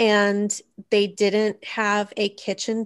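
Here is a woman with a Texas accent and medium pitch. The background is quiet. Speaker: podcast co-host. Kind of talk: casual, profane.

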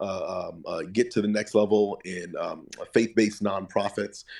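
At a moderate pace, a man speaks on a very clean recording with a silent background. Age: 30s. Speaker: pastor and church consultant. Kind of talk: interview. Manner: halting, many repeated words and fillers.

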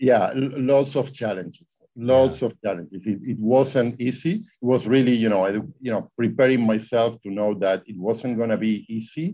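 At a moderate pace, a man with an Argentinian accent speaks in a medium pitch with ordinary pitch variation. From Argentina. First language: Spanish. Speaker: real estate investor. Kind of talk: interview. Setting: video call.

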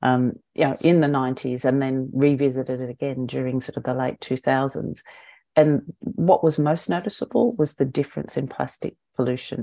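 Recorded very cleanly against a silent background, a woman in an Australian accent speaks with a very deep, low pitch and a dark, mellow tone. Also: ordinary pitch variation, moderate pace. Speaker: eco brand founder. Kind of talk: podcast interview.

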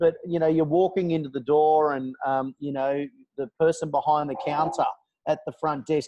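A man's fairly high voice in an Australian accent, at a moderate pace with fairly even intonation. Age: 40s. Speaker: podcast co-host, real estate trainer. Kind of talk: interview. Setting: video call from a McDonald's. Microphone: internet via phone hotspot, technical problems.

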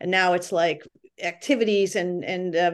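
A woman with an American accent uses a normal speaking voice at medium pitch, keeping a moderate pace and fairly even intonation against a quiet background. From Massachusetts (Lawrence). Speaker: rowing coach and para program director. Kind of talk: interview.

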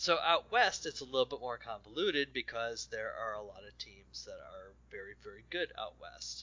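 The speech moves at a moderate pace with hardly any pauses. Its loudness swings widely. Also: man. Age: 30s. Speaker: podcast co-host. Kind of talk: casual chat.

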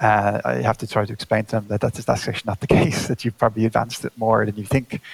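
Talking at a very fast pace with hardly any pauses, a man with an Irish accent has a fairly low pitch and ordinary pitch variation, the sound dry and close with no echo but with noticeable background noise. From Ireland. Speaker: space agency scientist. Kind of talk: interview.

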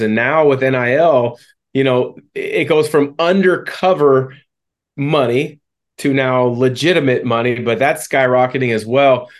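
Fairly even intonation and a moderate pace from an ordinary speaking voice. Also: man. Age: 40s. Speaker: podcast host, former basketball player. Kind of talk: interview.

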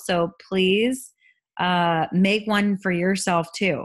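A woman with a normal speaking voice, medium pitch and fairly even intonation. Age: 30s. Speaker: podcast host and life coach. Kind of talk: casual solo talk.

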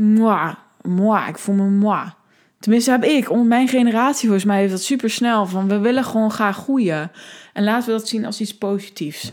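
A woman at a fairly high pitch, with ordinary pitch variation and a moderate pace. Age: 20s. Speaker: podcast host, life coach. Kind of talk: casual solo podcast monologue. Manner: animated.

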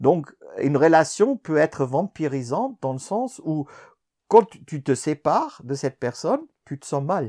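A man's fairly high but dark, mellow voice, lively in intonation with big swings in loudness, at a fairly slow pace, in a very clean, dry, close recording with a silent background and no echo. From Germany. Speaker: collaborative intelligence consultant. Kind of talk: interview. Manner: halting.

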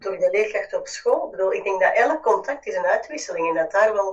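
In a Flemish accent, a woman speaks at a moderate pace. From Flanders, Belgium. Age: 40s. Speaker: business mentor. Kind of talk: casual chat.

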